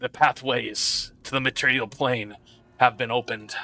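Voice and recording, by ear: A man's put-on character voice, guttural and at medium pitch, with a moderate pace and monotone, flat intonation.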